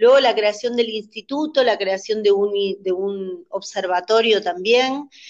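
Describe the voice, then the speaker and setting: In a plain, everyday voice, a woman talks at a fairly slow pace with a fairly high pitch and ordinary pitch variation. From Argentina, Misiones. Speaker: dance teacher and choreographer. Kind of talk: interview.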